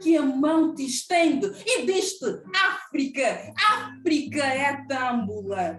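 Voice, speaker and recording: There is noticeable background noise as a woman speaks at a very slow pace. Her high voice moves through very wide pitch swings. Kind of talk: poetry reading.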